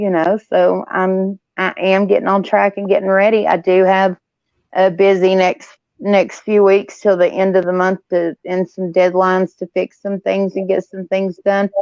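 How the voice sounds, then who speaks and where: Her intonation is monotone and flat. This woman speaks at a moderate pace and a medium pitch. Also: dry, close sound with no echo. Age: 40s. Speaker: live stream guest. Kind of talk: casual chat. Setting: live stream on phone. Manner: halting, many fillers.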